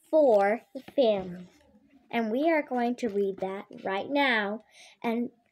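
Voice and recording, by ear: The words are read aloud in a natural voice.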